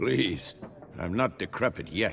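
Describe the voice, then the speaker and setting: A man puts on a raspy character voice over clear background noise. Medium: video game. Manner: dry, laconic.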